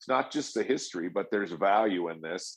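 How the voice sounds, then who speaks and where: Speaking fairly quickly, the man has an unremarkable speaking voice and ordinary pitch variation. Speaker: paintless dent repair technician and trainer. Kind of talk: podcast conversation.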